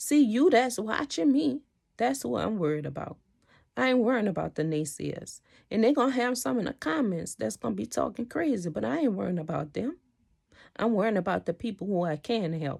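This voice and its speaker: Vocal fry marks this voice, which moves at a fairly quick pace with very wide pitch swings. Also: woman, medium pitch for a woman. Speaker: motivational vlogger. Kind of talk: motivational monologue. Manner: animated.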